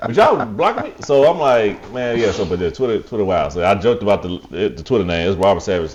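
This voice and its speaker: There is noticeable background noise. Through it, a man talks at a fairly quick pace. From Nashville, Tennessee. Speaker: podcast guest. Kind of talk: casual chat.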